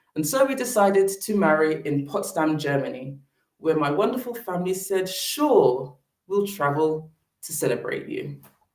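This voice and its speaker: A woman with a British accent speaks at a moderate pace. Her medium pitch moves in very wide swings. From Britain. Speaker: public speaker on sustainable fashion. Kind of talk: presentation talk.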